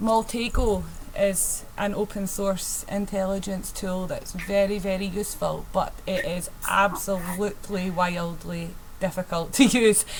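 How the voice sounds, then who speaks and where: A woman's medium-pitched voice with a strong Scottish accent, monotone and flat, at a fairly slow pace, with audible room echo and noticeable background noise. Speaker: penetration tester presenting a workshop. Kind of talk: technical presentation. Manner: hesitant, many fillers.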